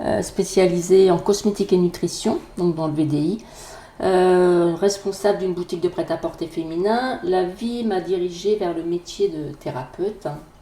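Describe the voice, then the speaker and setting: A woman speaks fairly slowly in an unremarkable speaking voice, with medium pitch and fairly even intonation. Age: 50s. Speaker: energy therapist and Reiki teacher. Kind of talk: podcast self-introduction.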